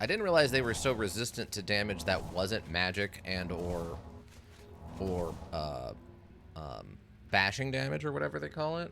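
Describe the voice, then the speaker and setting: Over music in the background, a man with a very deep, low pitch speaks at a moderate pace, using very wide pitch swings and long, frequent pauses. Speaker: game streamer. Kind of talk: casual gameplay commentary.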